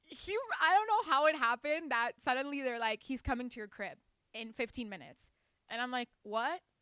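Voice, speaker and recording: A woman's high voice in a Spanish accent, with an animated tone, lively intonation and big swings in loudness, recorded with a dry, close sound and no echo. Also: fairly quick pace. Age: young. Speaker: singer and rapper. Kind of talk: interview, casual.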